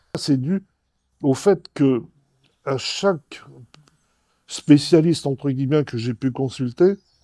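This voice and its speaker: A man with a fairly high voice speaks in a dark, mellow tone at a very slow pace, taking long, frequent pauses. His pitch varies an ordinary amount. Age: 80s+. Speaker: patient. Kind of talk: testimony. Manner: halting, many repetitions and fillers.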